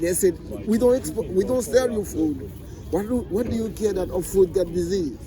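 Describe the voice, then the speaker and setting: Noticeable background noise behind a man's high voice. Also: ordinary pitch variation, moderate pace. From Haiti. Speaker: passerby in street interview. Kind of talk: heated debate. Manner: animated.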